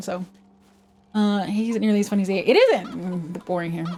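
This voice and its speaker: A woman with a slight Canadian accent, fairly even intonation and a very fast pace, amid noticeable background noise. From Canada, West Coast. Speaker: vtuber streamer. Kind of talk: casual livestream chat. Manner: casual, conversational.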